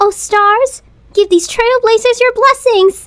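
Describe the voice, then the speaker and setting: Speaking at an extremely high pitch, a woman keeps a fairly slow pace and fairly even intonation. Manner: bright, friendly.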